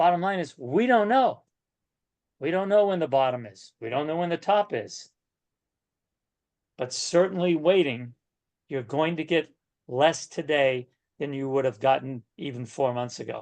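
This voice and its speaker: A man speaks with fairly high pitch and lively intonation. His pace is moderate, broken by long, frequent pauses. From New England. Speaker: real estate coach. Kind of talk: coaching session.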